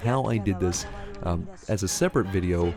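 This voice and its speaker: With lively intonation and a fairly quick pace, a man talks while music plays behind him. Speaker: gaming YouTuber. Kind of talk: gameplay commentary.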